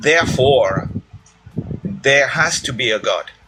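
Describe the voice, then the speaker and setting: A man with a non-native accent speaks amid noticeable background noise. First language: not English. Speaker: caller. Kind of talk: debate call-in.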